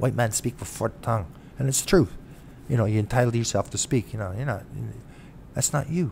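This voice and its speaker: This man speaks with a Canadian accent at a medium pitch. His voice is somewhat breathy. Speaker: self-represented litigant vlogger. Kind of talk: casual monologue vlog. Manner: halting, many fillers.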